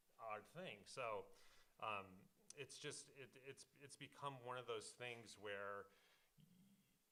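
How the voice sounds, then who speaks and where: A man with a bright, sharp tone and an American accent. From Detroit, Michigan, US. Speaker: film composer. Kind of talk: panel discussion.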